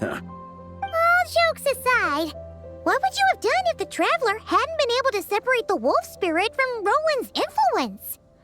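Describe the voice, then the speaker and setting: A put-on character voice at an extremely high pitch moves at a moderate pace over faint music in the background. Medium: video game. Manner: teasing.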